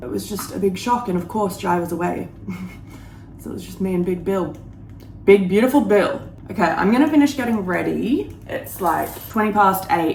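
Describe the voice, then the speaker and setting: With an Australian accent and a medium pitch, a woman speaks with lively intonation and big swings in loudness amid noticeable background noise and audible room echo. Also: moderate pace. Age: 30s. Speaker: lifestyle vlogger. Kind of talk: casual vlog chat. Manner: chatty, casual.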